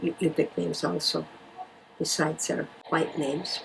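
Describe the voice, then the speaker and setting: Moderately paced, a woman's speech comes over noticeable background noise. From Alaska (Bethel). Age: 70s. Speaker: parish administrator. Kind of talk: documentary interview.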